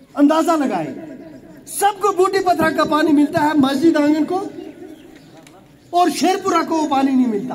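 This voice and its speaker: A man with an extremely high pitch and ordinary pitch variation speaks with long, frequent pauses. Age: 50s. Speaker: politician. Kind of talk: public speech. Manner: impassioned.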